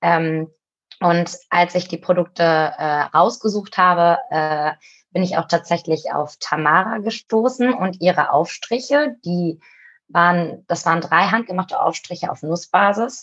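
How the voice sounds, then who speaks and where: Against a quiet background, a woman with a fairly low pitch and an unremarkable speaking voice speaks fairly slowly, with ordinary pitch variation. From Cologne, Germany. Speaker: co-founder of an online shop. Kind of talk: interview conversation.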